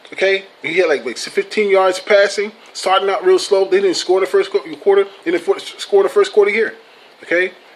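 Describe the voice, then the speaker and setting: Through noticeable background noise, a man speaks at a moderate pace in an animated tone. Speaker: sports vlogger. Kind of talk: casual vlog commentary. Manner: animated, swearing rant.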